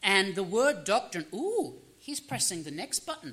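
A man with an Australian accent speaks in a raised, projected voice. His pitch is high and swings very widely. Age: 30s. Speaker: pastor. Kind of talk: sermon.

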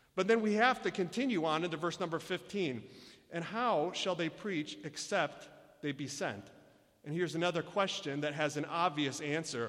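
With a Michigan accent, a man speaks at a moderate pace in a fairly high pitch with lively intonation, on a very clean recording with a silent background. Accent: Michigan American. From US Midwest, Michigan. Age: 30s. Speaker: missionary. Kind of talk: sermon. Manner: halting.

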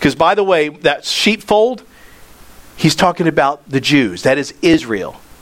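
A man's voice at a fairly slow pace with lively intonation, over noticeable background noise. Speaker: pastor. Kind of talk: sermon. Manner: animated.

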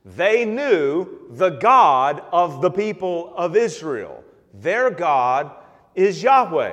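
A man's high voice at a very slow pace, with very wide pitch swings, big swings in loudness and audible room echo. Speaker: pastor. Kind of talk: sermon. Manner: halting.

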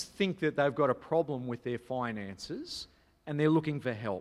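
A man with an Australian accent. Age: 30s. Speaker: pastor. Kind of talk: sermon.

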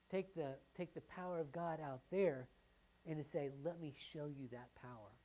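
A woman with an American accent speaks in a very deep, low pitch and a dark, mellow tone. Her pace is moderate and her pitch varies in an ordinary way. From US South. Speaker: pastor. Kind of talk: sermon. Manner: halting.

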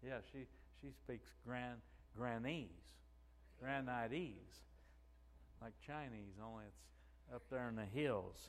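A man with a southeast Missouri accent speaks at a very slow pace. He leaves long, frequent pauses. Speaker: pastor. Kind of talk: sermon. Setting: church.

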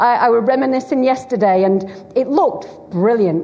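A woman with a Lancashire accent talks at a fairly slow pace, with audible room echo and noticeable background noise. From Bolton, Greater Manchester, northern England. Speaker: preacher. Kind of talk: sermon. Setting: church.

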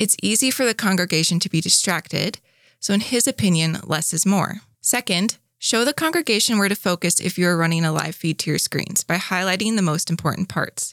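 The recording is very clean with a silent background and a dry, close sound with no echo, as a woman in an ordinary speaking voice talks fairly quickly at a medium pitch, her loudness very even and her pitch varying normally. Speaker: staff article reader. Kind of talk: reading aloud.

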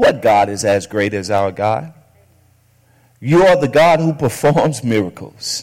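A man of medium pitch talks at a fairly slow pace in a warm, animated tone, with very wide pitch swings and long, frequent pauses. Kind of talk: sermon. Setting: church with congregation. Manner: animated call-and-response, urging the congregation to shout back; repeats key phrases for emphasis, warm and exhortative.

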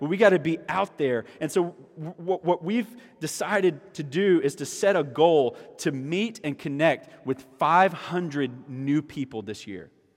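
A man's fairly high voice in a South Carolina accent, fairly slow, with lively intonation. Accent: Southern US (South Carolina). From US South, South Carolina (Orangeburg). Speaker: pastor. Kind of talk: sermon.

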